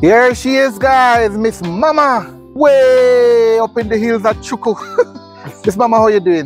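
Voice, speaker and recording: A man's extremely high pitch with ordinary pitch variation, a fairly slow pace, long, frequent pauses, very even loudness, and music in the background. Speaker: vlogger. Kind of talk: interview.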